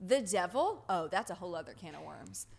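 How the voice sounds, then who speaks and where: Moderate in tempo and lively in intonation, a woman talks in an unremarkable speaking voice. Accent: American. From US South. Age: 20s. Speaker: podcast host, religion researcher. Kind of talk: casual chat.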